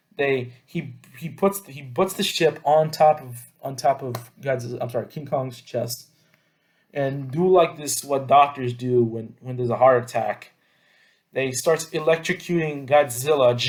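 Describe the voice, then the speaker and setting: A man with a fairly high pitch and a somewhat breathy voice speaks at a moderate pace with ordinary pitch variation. His loudness swings widely. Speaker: YouTuber reviewing movies. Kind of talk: casual movie review monologue.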